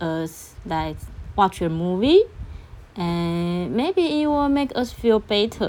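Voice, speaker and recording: Speaking very slowly with a Chinese accent, a woman uses lively intonation. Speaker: podcaster. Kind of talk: storytelling monologue. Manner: halting.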